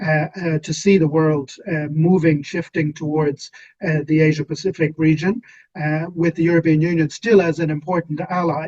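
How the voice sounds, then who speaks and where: A man with an Irish accent talks at a moderate pace and a fairly high pitch. His intonation stays fairly even. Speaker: policy expert, webinar panelist. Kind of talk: panel discussion. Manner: hesitant, many fillers.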